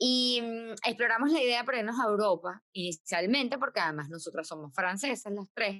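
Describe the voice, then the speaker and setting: Fairly high-pitched woman with a strong Caracas accent, lively intonation, moderate pace, and a dry, close sound with no echo. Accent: strong Caracas Venezuelan. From Venezuela, Caracas. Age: 40s. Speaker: podcast co-host, dentist. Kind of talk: casual chat.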